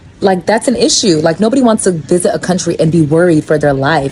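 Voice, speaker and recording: A woman speaks very fast in an animated tone with lively intonation. Noticeable background noise runs underneath. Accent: American. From United States. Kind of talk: casual vlog monologue.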